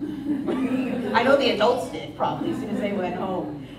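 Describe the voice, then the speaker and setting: A woman speaks fairly slowly with very wide pitch swings, amid noticeable background noise and audible room echo. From US, local school district. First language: Spanish. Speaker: school principal. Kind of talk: speech to parents at school meeting. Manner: casual, conversational.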